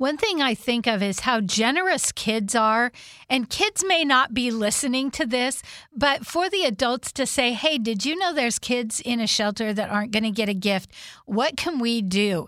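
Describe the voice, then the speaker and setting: A high-pitched woman's voice with a bright, sharp tone, lively intonation, a moderate pace and very even loudness, on a very clean recording with a silent background. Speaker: radio host. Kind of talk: interview.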